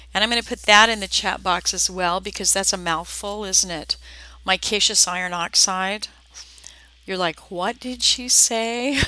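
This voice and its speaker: Speaking at a moderate pace with an American accent, a woman uses a medium pitch and ordinary pitch variation. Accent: slight southern accent, surfaces at times. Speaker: art teacher. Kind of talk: live tutorial. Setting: live video stream. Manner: casual, chatty.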